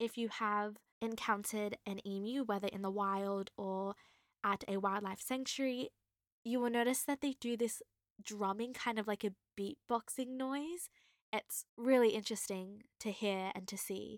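Fairly high in pitch, a woman talks at a moderate pace with fairly even intonation. The sound is dry and close, with no echo. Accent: Australian. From Australia, Queensland. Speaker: wildlife podcast host. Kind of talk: solo educational talk.

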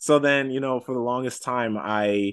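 An unremarkable speaking voice from a man with an American accent, ordinary pitch variation, and a quiet background. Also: dry, close sound with no echo. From New York City, Washington Heights. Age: 30s. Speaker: comic book writer. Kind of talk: interview.

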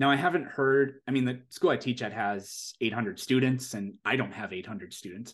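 A man with an American accent talks in a plain, everyday voice at a medium pitch, fairly quick pace and lively intonation. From US Midwest, South Dakota. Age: 30s. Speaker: science educator and content creator. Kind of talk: podcast interview, casual chat. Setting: remote podcast recording.

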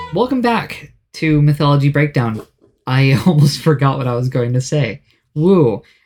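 Music plays in the background as a man talks at a moderate pace. His voice is fairly high in pitch and varies in an ordinary way. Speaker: podcast host. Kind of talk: casual, jokey.

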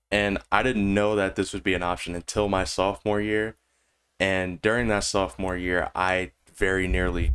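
Very deep, low male speech, captured in a very clean recording over a silent background. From Rhode Island. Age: 20s. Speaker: podcast host and gamer. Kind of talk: solo podcast monologue. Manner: energetic.

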